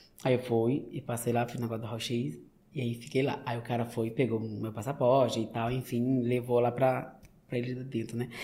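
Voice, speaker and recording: The tone is dark and mellow, with a somewhat breathy quality. It moves at a moderate pace in a flat monotone. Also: man, medium pitch for a man. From Brazil, Maranhão (São Luís), Northeast. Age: 20s. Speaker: manicurist. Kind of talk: casual interview.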